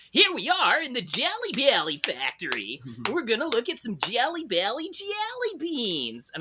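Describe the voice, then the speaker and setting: Putting on a character voice at an extremely high pitch, a man sounds sing-song and enthusiastic at a moderate pace. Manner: over-the-top enthusiastic, sing-song.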